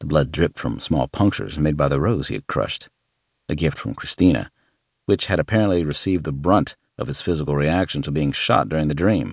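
Very deep and low, a man's voice carries vocal fry and lively intonation at a fairly quick pace, recorded dry and close with no echo. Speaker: audiobook narrator. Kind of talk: audiobook narration of a thriller, with the opening in first-person letter style. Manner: dramatic, brooding, serious.

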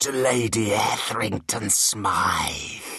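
In a put-on character voice, a raspy man speaks at a very slow pace. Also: medium pitch for a man. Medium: read story. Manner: scared, formal old-fashioned English.

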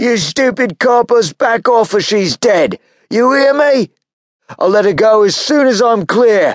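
This man talks at a fairly slow pace with an extremely high pitch for a man. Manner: shouted, threatening, desperate.

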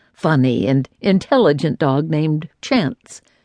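Against a quiet background, a woman with a warm tone and a very deep, low pitch speaks in a dry, close sound with no echo. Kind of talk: audiobook narration, reading aloud a nonfiction book. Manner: measured, warm and reflective, with a steady storytelling pace.

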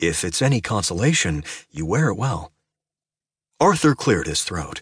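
At a moderate pace, the speaker's voice shows vocal fry and very wide pitch swings. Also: man. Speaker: audiobook narrator. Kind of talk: audiobook narration. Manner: dramatic, expressive; flirtatious, playful male character voice.

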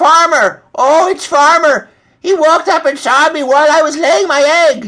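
A man uses a put-on character voice at an extremely high pitch, with ordinary pitch variation, a bright, sharp tone and a fairly slow pace.

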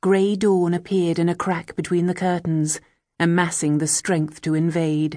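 With an ordinary speaking voice, a woman talks at a fairly slow pace. Her pitch sits fairly low, and her intonation stays fairly even. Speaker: audiobook narrator. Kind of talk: dramatic audiobook narration, reading a novel aloud. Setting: studio. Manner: measured, hushed and atmospheric, building tension.

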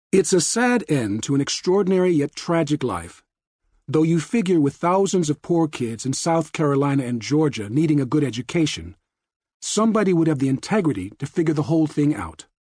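A man's voice, fairly high in pitch, carries a solemn tone that is dark and mellow. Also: lively intonation. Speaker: audiobook narrator. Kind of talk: dramatic audiobook narration, reading aloud. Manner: somber, reflective, punchy short sentences.

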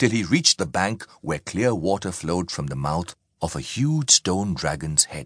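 Behind this speaker, the background stays quiet. The delivery is a natural reading voice.

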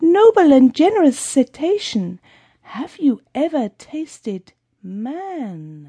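A put-on character voice moves at a very slow pace with very wide pitch swings. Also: woman, high pitch for a woman. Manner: sly, flattering.

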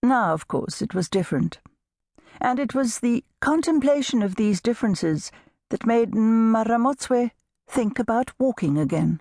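Dry and close with no echo, a woman's dark, mellow, warm voice is somewhat breathy, with lively intonation and very even loudness. She keeps a moderate pace against a quiet background. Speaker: audiobook narrator. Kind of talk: audiobook narration, unabridged novel reading. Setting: studio. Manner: measured, warm storytelling pace, gently expressive; shifts into character voices for dialogue.

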